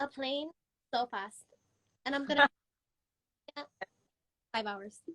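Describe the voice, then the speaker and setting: A woman projects a raised, high-pitched voice. Her tone is bright and sharp, and her pace fairly slow. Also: ordinary pitch variation, dry, close sound with no echo. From Puerto Rico. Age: young. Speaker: makeup artist. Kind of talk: interview answer.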